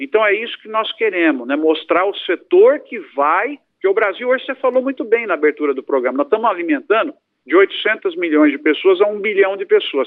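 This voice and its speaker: A man's high voice moving at a fairly quick pace, with very wide pitch swings. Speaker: agronomist and professor. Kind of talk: interview.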